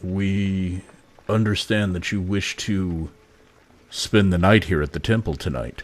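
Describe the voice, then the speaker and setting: A man puts on a rumbling character voice, very deep and low in pitch, speaking fairly slowly with ordinary pitch variation. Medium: actual play. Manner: measured, formal.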